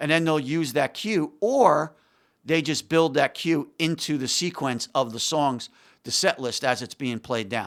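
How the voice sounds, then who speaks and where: A normal speaking voice from a man, fairly high-pitched with lively intonation, at a moderate pace on a very clean recording with a silent background. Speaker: music technology expert. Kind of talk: casual chat.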